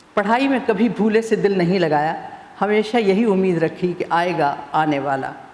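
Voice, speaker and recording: A woman talks at a medium pitch with ordinary pitch variation amid noticeable background noise. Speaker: author and former TV newsreader. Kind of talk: satirical prose reading.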